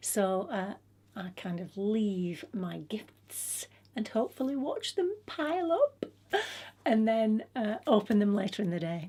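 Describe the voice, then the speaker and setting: In an English accent, a woman speaks at a fairly slow pace in a fairly high, somewhat breathy voice with a dark, mellow tone and very wide pitch swings. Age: 60s. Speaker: lifestyle vlogger. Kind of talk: casual vlog talk. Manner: hesitant, many fillers.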